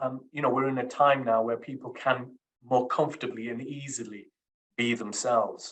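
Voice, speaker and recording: A man speaks at a moderate pace with a Yorkshire accent. His pitch is medium. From Sheffield, Yorkshire, England. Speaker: criminal barrister. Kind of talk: interview. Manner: hesitant.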